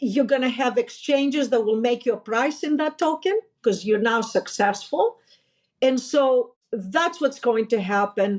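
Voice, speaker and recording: A woman with a Greek accent speaks at a fairly slow pace in a high voice. Her intonation is lively and her loudness stays very even. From Greece. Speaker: finance executive, company founder. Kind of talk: interview conversation.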